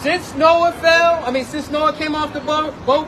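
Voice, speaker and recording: Loud speech at a fairly slow pace, with crowd noise in the background. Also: man. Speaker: street preacher. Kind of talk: street preaching debate.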